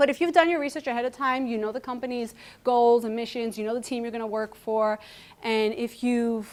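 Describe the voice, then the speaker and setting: Speaking at a fairly quick pace, a woman with a Greek accent has a fairly high pitch. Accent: Greek accent, noticeable. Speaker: computer science lecturer. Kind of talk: conference talk. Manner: animated.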